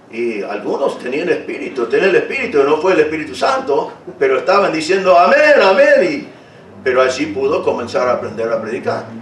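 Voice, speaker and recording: Noticeable background noise and audible room echo accompany a man who speaks at a fairly quick pace. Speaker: pastor. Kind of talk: sermon. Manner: halting, repeats words.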